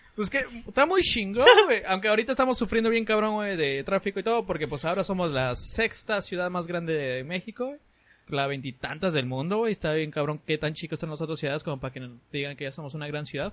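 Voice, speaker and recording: Over a quiet background, a man speaks with a high pitch. He goes at a very fast pace, his intonation lively. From Tijuana, northern Mexico. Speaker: podcast host. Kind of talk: casual chat.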